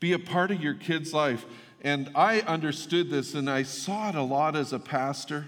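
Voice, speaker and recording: Audible room echo surrounds a man's fairly high voice. He talks at a fairly slow pace with ordinary pitch variation. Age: 50s. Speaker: pastor. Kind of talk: sermon. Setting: church.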